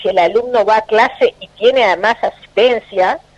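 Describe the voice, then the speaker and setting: Speaking fairly slowly with a Uruguayan accent, a woman uses a fairly high pitch with ordinary pitch variation. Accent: Uruguayan Spanish (Rioplatense). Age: 60s. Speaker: politician. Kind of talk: radio interview.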